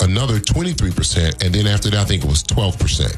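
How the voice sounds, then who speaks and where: Over noticeable background noise, someone with an American accent talks at a very fast pace with very wide pitch swings. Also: man. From Harvey, Illinois (Chicago area). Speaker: mayor. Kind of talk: radio interview.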